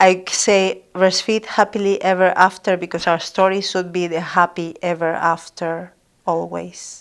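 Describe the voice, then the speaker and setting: A woman with a Spanish accent, medium in pitch, fairly slow, in a monotone, flat intonation. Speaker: midwife and author. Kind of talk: podcast interview.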